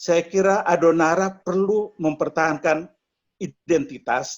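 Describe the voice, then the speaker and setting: Speaking with ordinary pitch variation, a man has a high voice. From eastern Indonesia (Flores). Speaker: media executive. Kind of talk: online discussion.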